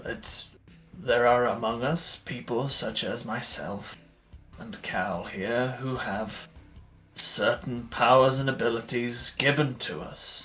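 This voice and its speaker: A man puts on a character voice at a medium pitch and a fairly slow pace. Music plays in the background. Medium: actual play. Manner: formal, polite.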